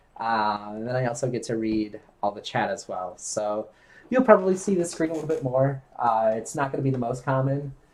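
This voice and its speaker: Here a man talks at a fairly quick pace. His pitch is medium and his intonation lively. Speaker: video game streamer. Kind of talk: casual chat. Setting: live stream.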